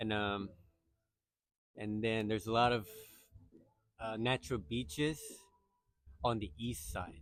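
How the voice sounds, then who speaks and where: In a Japanese accent, a man talks at a fairly slow pace with long, frequent pauses. His voice is fairly low, with ordinary pitch variation. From Okinawa, Japan. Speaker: local interviewee. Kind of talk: casual interview. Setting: outdoors at a beach. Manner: halting.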